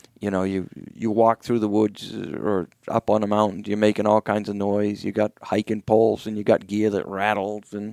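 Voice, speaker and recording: With a New England accent, a man talks at a moderate pace in a fairly low pitch and monotone, flat intonation, the sound dry and close with no echo. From New Hampshire, US. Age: 60s. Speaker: hunter and wool company owner. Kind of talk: casual interview conversation.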